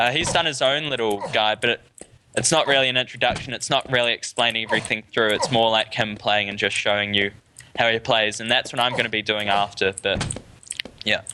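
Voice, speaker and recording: With a New Zealand accent, a man speaks at a fairly quick pace and a medium pitch. His intonation stays fairly even, and background noise is noticeable. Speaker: gaming tutorial creator. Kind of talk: tutorial. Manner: casual, with fillers and restarts.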